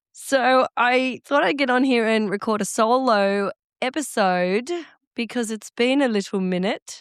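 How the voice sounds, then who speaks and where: Fairly slow speech from a woman with an Australian accent and fairly high pitch, in a dry, close sound with no echo. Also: ordinary pitch variation. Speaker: podcast host. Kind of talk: solo podcast monologue.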